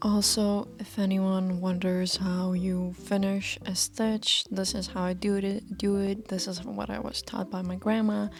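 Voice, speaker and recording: In a non-native accent, a woman speaks at a medium pitch and a fairly slow pace. Her intonation is monotone and flat, with hardly any pauses. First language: not English. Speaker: fashion student vlogger. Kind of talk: casual vlog talk. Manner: halting, many fillers and restarts.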